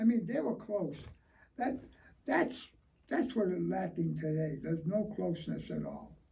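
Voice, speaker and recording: In a space with audible room echo, a man speaks at a fairly slow pace, leaving long, frequent pauses. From Springfield, Massachusetts, Italian-American neighborhood. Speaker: war veteran. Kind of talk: oral history interview. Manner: halting, repeats words.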